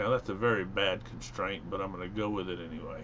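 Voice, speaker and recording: A man's fairly low voice with vocal fry. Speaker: engineering instructor. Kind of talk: software tutorial. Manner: casual, with fillers.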